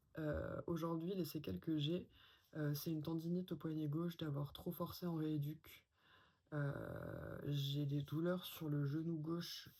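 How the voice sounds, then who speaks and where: Her pitch is very deep and low for a woman, with a dark, mellow tone. She sounds somewhat breathy, and her intonation stays fairly even. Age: 20s. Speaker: vlogger. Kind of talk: personal testimony. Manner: hesitant, many fillers.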